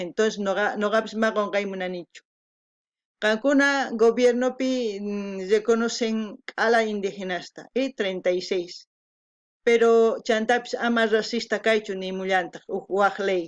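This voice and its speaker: This woman has a fairly high pitch and speaks at a fairly slow pace with fairly even intonation. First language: Quechua (speaking Spanish). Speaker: video reactor. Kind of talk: reaction commentary. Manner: halting.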